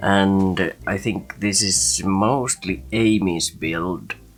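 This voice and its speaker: This man's pitch is very deep and low. There is music in the background. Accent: Finnish. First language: Finnish. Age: adult. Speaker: gaming video creator. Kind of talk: gameplay commentary. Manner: halting.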